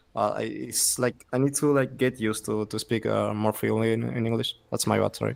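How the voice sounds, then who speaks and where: A man with a Spanish accent, fairly quick in pace, with hardly any pauses. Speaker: pro gamer, guest caster. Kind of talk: casual chat. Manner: halting.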